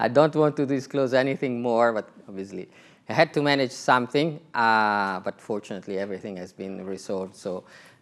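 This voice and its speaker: In a very clean recording with a silent background, a man with an Italian accent speaks at medium pitch. His pace is fairly quick, and his loudness swings widely. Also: ordinary pitch variation. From Italy. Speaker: telecom executive. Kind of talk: conference talk. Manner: hesitant, many fillers.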